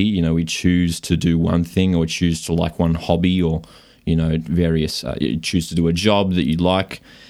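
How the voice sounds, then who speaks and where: Very deep and low, a man's voice holds a moderate pace. The recording is very clean, with a silent background. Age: 20s. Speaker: podcast co-host. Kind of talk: casual chat. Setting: studio.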